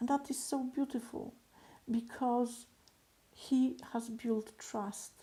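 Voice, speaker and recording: A woman's high-pitched voice with a non-native accent, monotone and flat, at a very slow pace with long, frequent pauses. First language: not English. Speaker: business coach. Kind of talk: motivational talk to camera. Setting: recorded video alone. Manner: hesitant, many fillers.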